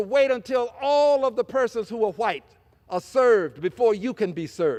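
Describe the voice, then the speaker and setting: Speaking with an American accent, a man uses an extremely high pitch with very wide pitch swings. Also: very clean recording, silent background. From US South. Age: 70s. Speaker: congressman. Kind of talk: floor speech. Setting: legislative chamber. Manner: impassioned.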